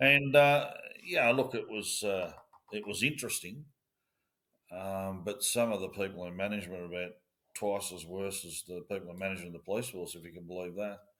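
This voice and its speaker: A man's bright, sharp tone at a fairly low pitch, with an Australian accent and big swings in loudness. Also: ordinary pitch variation, fairly quick pace. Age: 60s. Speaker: former police officer. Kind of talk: interview. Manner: halting.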